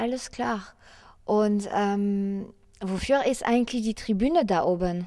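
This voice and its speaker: In a French accent, a woman with a dark, mellow tone and medium pitch speaks at a very slow pace with ordinary pitch variation against a quiet background. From France. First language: French (speaking German). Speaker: presenter of explainer video; presenter. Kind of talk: interview; interview questions and sign-off to camera. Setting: parliament chamber. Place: hall. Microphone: handheld.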